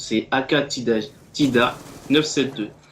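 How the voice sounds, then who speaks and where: A man is talking. The rise and fall of his voice is fairly even. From Martinique. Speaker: gaming commentator. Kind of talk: gameplay commentary. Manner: casual, laughing.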